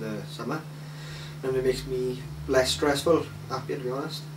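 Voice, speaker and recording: A South Welsh accent at a moderate pace, with noticeable background noise and audible room echo. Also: man. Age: 20s. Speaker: interviewee. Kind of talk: interview. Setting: at home, in his flat. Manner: hesitant, filler-heavy.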